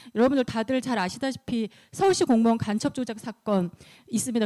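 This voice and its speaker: Fairly high in pitch, a woman's voice has a dark, mellow tone and lively intonation, moving at a fairly quick pace in a dry, close sound with no echo. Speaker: lawyer presenting at a human rights conference. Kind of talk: conference presentation. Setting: conference room, livestreamed. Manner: fast.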